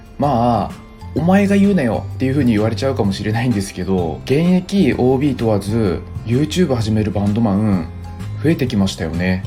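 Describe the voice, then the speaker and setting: Music plays in the background while a man speaks at a fairly quick pace. His medium pitch moves in very wide swings. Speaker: former visual-kei band musician. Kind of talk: casual talk to camera. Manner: somewhat fast-talking, natural speaking style.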